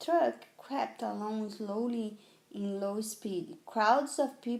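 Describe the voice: Pitch varies in an ordinary way. It is plain reading aloud.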